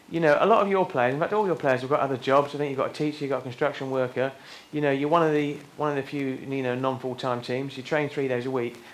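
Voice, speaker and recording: With a southern English accent, a man talks very fast in a fairly high pitch, his intonation fairly even and the room echo audible. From southern England. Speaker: interviewer. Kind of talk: stage interview.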